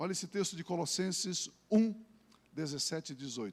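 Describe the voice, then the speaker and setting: A man speaks at a fairly high pitch and a fairly slow pace. His intonation is lively. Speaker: pastor. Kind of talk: sermon.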